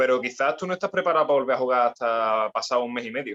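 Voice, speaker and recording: This man's bright, sharp tone comes through as a dry, close sound with no echo. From Andalusia, Spain (Cádiz). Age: 20s. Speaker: personal trainer and sports rehab specialist. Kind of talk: podcast interview. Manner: halting, many repetitions.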